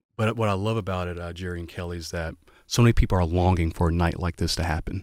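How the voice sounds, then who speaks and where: Fairly even intonation runs through this fairly quick delivery in a Southern US accent. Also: man. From US South, Waycross, Georgia. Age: 20s. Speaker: pastor. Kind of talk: casual chat.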